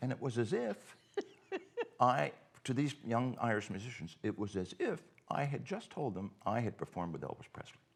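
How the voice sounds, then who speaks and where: This man, in a Cape Breton accent, talks at a moderate pace and medium pitch with lively intonation and long, frequent pauses. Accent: Cape Breton Canadian. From Cape Breton, Nova Scotia, Canada. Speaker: festival co-founder. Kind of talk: casual chat. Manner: halting, many repetitions.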